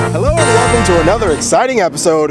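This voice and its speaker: Music plays in the background as a man with an American accent speaks with very wide pitch swings. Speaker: game show host. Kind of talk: street game show. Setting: outdoors on the street at night.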